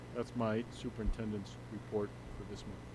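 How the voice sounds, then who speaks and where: Fairly low in pitch, a man talks at a fairly quick pace with vocal fry. His pitch swings very widely. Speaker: school superintendent. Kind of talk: public board meeting report.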